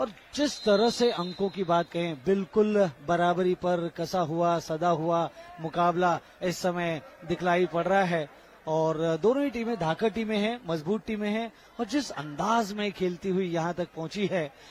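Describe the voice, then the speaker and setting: A man speaks with a high pitch and ordinary pitch variation. Noticeable background noise runs under his voice. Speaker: sports commentator. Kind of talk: live sports commentary. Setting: stadium, live event.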